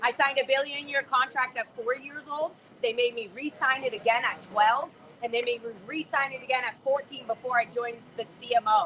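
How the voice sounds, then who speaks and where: A woman's raised, projected, animated voice, high in pitch and at a fairly quick pace, over noticeable background noise. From US, raised in Scientology in Los Angeles. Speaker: former Scientologist protester. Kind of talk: emotional live street conversation. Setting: outdoors at a protest, livestream. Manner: loud.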